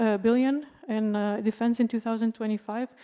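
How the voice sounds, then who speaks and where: A woman's fairly high-pitched, dark and mellow voice, fairly quick in pace and monotone and flat in intonation, on a very clean recording with a silent background. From Romania. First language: Romanian. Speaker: panelist, art worker. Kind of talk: panel talk. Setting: stage with audience.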